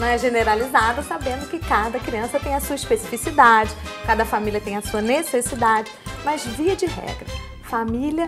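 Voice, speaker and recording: A woman at a moderate pace with ordinary pitch variation, clear music in the background. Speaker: guest. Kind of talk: interview answer. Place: studio. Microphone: lapel.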